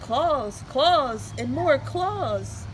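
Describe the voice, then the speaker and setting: A woman's put-on character voice over clear background noise. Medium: read story.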